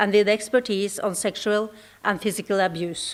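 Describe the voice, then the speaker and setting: Fairly high female voice in a Norwegian accent, moderate in pace, with fairly even intonation. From Norway. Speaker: ambassador. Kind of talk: conference speech. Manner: formal.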